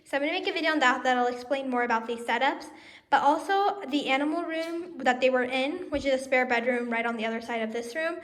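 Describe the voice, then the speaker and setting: A woman at a high pitch and very fast pace, with ordinary pitch variation and audible room echo. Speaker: pet vlogger. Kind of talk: casual vlog talk. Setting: home, with pet rabbits.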